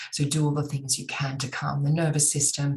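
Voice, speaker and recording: A woman with an Australian accent speaks at a moderate pace in a very deep, low voice, her intonation flat and monotone. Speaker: astrologer. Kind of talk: monologue to camera.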